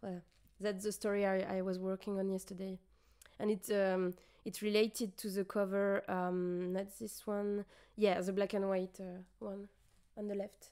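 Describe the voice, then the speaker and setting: A woman with a French accent talks at a moderate pace in a medium pitch. Her tone is dark and mellow, her intonation monotone and flat. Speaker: streamer. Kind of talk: casual chat. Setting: livestream. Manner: halting.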